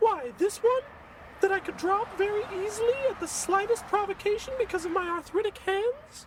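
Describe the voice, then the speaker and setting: Over clear background noise, a squeaky put-on character voice speaks at a moderate pace with ordinary pitch variation. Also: woman, extremely high pitch for a woman. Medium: audio drama. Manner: prim, sweetly scolding.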